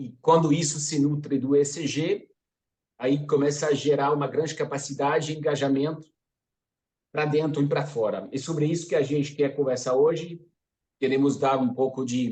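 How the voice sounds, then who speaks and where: With a French accent, a man speaks at a moderate pace in a fairly high pitch, his tone dark and mellow, somewhat breathy, and his intonation monotone and flat. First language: French (speaking Portuguese). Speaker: sustainability consultant. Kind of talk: webinar presentation. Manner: hesitant, many fillers.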